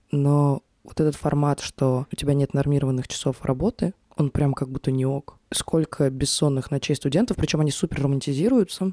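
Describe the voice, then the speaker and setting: A woman's very deep, low voice with a dark, mellow tone, ordinary pitch variation, very even loudness and a moderate pace, in a dry, close sound with no echo. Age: 20s. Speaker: podcast host and producer. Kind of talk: personal monologue podcast. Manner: casual conversational.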